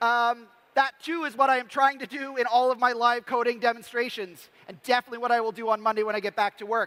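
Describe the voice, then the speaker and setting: A man with an extremely high pitch and a bright, sharp tone talks in a raised, projected voice at a very fast pace, with fairly even intonation, hardly any pauses and a dry, close sound with no echo. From Canada. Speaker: developer educator, former science teacher. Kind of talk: conference talk. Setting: stage with audience.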